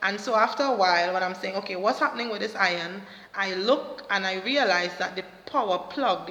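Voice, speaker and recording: Speech at a moderate pace with ordinary pitch variation, heard with audible room echo and noticeable background noise. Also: woman. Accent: Trinidadian. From Trinidad and Tobago. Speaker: motivational vlogger and counselor. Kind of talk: motivational talk to camera. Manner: hesitant fillers.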